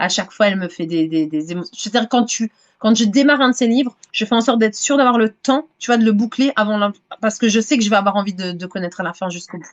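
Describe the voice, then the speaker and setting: The woman's voice is fairly high and shifts in pitch in a normal way. She talks extremely fast. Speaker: romance novelist. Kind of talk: casual interview chat. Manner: hesitant, many repetitions and fillers.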